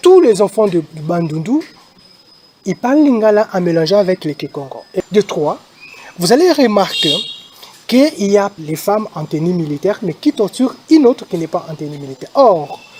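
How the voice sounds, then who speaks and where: In a dry, close recording with no echo but noticeable background noise, a man speaks at a high pitch with very wide pitch swings and long, frequent pauses. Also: moderate pace. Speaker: army officer / military spokesman. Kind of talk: press statement. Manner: hesitant, many fillers.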